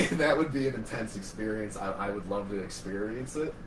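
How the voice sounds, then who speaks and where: Speaking with an American accent, a man with a fairly low pitch uses lively intonation amid noticeable background noise and audible room echo. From Buffalo area, New York. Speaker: paranormal investigator and podcast co-host. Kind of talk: casual chat.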